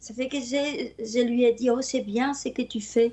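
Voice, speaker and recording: A woman speaks very slowly with a Spanish accent. Her pitch is high. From Spain. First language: Spanish (speaking French). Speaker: storyteller. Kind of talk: interview.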